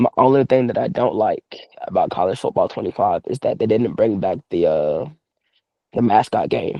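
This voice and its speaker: A man talks in an Atlanta accent. His pace is moderate. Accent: Southern US, Atlanta. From US South, Atlanta East Side. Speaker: professional wrestler. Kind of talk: casual chat.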